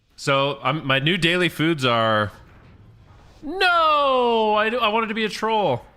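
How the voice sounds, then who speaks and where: A man's raised, projected voice at a high pitch, very slow in pace, with very wide pitch swings and very even loudness. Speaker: gaming streamer. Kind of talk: casual chat.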